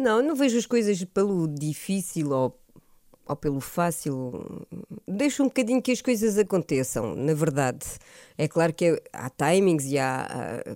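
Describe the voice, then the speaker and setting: On a very clean recording with a silent background, a woman speaks fairly slowly in a fairly low, dark, mellow voice. Her pitch swings very widely. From France, moved to Portugal at 13. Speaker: singer. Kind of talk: radio interview. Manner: hesitant, many fillers.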